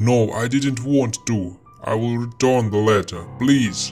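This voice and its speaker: Doing a put-on character voice, a man speaks at a medium pitch and a fairly slow pace while clear music plays in the background. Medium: read story.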